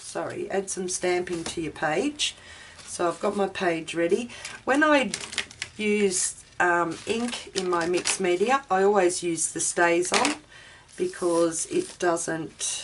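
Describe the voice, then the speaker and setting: The woman's pace is very slow. She holds a medium pitch. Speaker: craft tutorial host. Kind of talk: tutorial. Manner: casual, hesitant with fillers.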